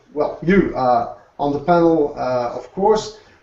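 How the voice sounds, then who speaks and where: This man's pace is moderate. His intonation rises and falls in a normal way. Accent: French. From Alsace, France. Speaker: food blogger and co-host. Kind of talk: presentation.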